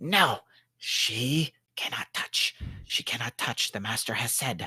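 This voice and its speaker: A man whispers in a put-on character voice, with a hissing sound. His pace is fairly slow. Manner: hissing whisper.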